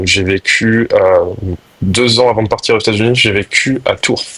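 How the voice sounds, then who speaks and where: This is a man speaking. His pace is moderate. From France (moved around, military family). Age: 20s. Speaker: lacrosse player, national team. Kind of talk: podcast interview. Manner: hesitant, many fillers.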